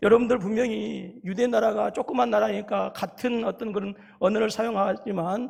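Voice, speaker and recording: Against noticeable background noise, a man with a strong Jeolla accent talks at a moderate pace in a high pitch with fairly even intonation. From South Korea, Jeolla (Haenam). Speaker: pastor. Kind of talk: sermon.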